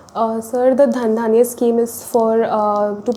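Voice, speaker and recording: A woman with a fairly high voice speaks in a flat monotone. Noticeable background noise is present. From India (Delhi). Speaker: civil services exam candidate. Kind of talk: mock interview. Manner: halting.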